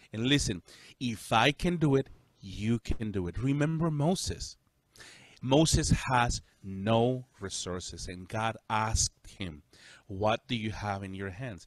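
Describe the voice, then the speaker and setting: In a Spanish accent, a man talks at a fairly slow pace with lively intonation, the sound dry and close with no echo. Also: medium pitch for a man, very clean recording, silent background. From El Salvador. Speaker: pastor. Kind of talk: casual chat.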